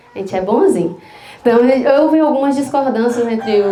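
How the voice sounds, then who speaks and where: A high-pitched woman speaks with lively intonation. Her voice carries audible room echo and noticeable background noise. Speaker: psychologist giving a talk at church. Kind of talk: testimony. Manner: conversational.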